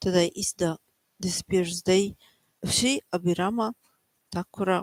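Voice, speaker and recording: A soft-spoken woman talks at a medium pitch with fairly even intonation. The sound is dry and close, with no echo. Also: moderate pace. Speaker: devotional teacher. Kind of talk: religious reading with commentary. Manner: halting.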